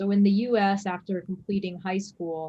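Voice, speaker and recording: A woman with a Chinese accent speaks at a moderate pace in a medium pitch, her somewhat breathy, dark, mellow tone held in monotone, flat intonation. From US, New York. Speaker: emergency physician. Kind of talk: lecture.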